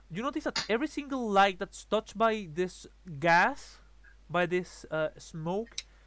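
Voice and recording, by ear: Someone reads aloud in a natural voice, and their intonation rises and falls in a lively way.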